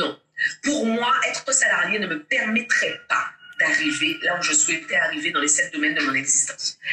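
There is noticeable background noise. Through it, a woman talks at a moderate speed. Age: 40s. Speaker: mindset coach and public speaker. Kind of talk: interview. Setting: at home.

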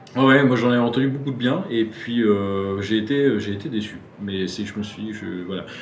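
A man at a medium pitch and moderate pace, with ordinary pitch variation, big swings in loudness, audible room echo and noticeable background noise. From Brittany, France (Quimper, Finistère). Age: 30s. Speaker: former film student, retail worker. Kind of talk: casual interview, personal testimony. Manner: hesitant, many fillers and repetitions.

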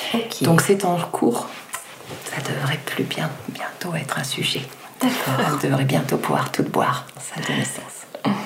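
Someone whispers at a fairly slow pace amid audible room echo and noticeable background noise. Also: woman. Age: 40s. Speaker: midwife. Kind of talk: expert explanation in interview.

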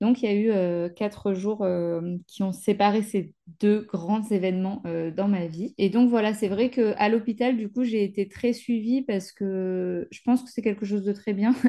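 A woman's dark, mellow voice at a medium pitch, fairly slow and fairly even in intonation, with hardly any pauses. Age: 30s. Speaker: travel content creator. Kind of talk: personal testimony. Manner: halting, many fillers.

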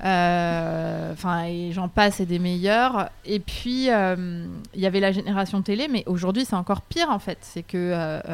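The speaker goes at a very slow pace with ordinary pitch variation, on a very clean recording with a silent background. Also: woman. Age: 30s. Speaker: leadership coach and training company founder. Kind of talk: interview.

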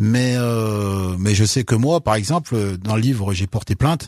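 A man with an ordinary speaking voice, fairly low in pitch, with ordinary pitch variation on a very clean recording with a silent background. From France, Loire (Saint-Étienne area). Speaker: author. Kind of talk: interview.

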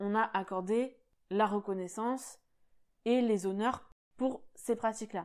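Speaking at a medium pitch with ordinary pitch variation, a woman comes through on a very clean recording with a silent background. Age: 20s. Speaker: podcast host. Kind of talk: solo monologue podcast.

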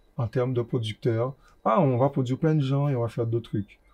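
With a dark, mellow tone, a man speaks at medium pitch, somewhat breathy, with ordinary pitch variation. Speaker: rapper. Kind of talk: interview. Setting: bookstore cultural space.

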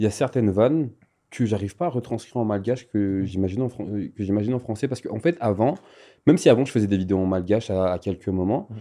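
Over a quiet background, a man speaks very fast in a fairly low, dark, mellow voice. His pitch varies in an ordinary way. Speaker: content creator. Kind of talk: interview. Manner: animated.

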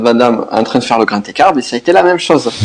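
A man with a southwestern French accent and ordinary pitch variation. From southwest France. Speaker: business coach. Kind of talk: podcast interview.

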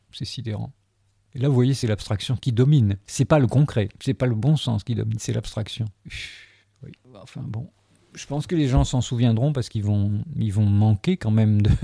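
A man at a medium pitch speaks in a dark, mellow, somewhat breathy tone, his loudness swinging widely, with long, frequent pauses on a dry, close recording that has no echo, very clean and with a silent background. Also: ordinary pitch variation, moderate pace. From Algeria, moved to France in 1963. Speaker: sculptor. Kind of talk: reflective interview. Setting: his gallery-workshop.

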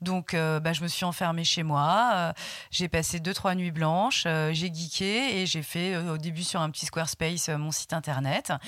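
In a very clean recording with a silent background, a woman speaks at a fairly slow pace with a fairly low pitch and ordinary pitch variation. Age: 40s. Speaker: shop owner and magazine founder. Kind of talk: interview. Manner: hesitant, many fillers and repetitions.

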